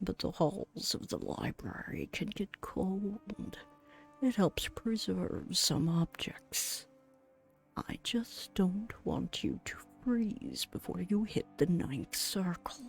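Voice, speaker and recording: Whispering very slowly in a put-on character voice, the speaker is heard over faint background music. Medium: game stream. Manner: polite, gentlemanly, warm.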